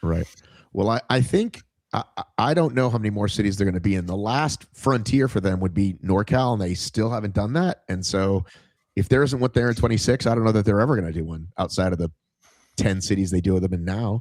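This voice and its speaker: An unremarkable speaking voice from a man, fairly low-pitched, fairly quick, with ordinary pitch variation, in a very clean recording with a silent background and a dry, close sound with no echo. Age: 50s. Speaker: fitness podcast host. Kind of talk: casual interview chat.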